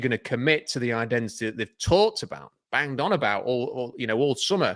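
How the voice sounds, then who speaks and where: In a very clean recording with a silent background, a man with a Yorkshire accent talks very fast with lively intonation. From Yorkshire, northern England. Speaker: football podcast analyst. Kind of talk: casual sports panel discussion.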